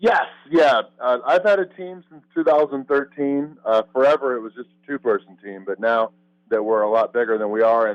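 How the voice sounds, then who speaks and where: An ordinary speaking voice with an American accent, lively intonation, big swings in loudness and a moderate pace, in a dry, close sound with no echo. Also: man, medium pitch for a man. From Missouri, US Midwest. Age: 30s. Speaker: competitive eater and YouTuber. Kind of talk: interview.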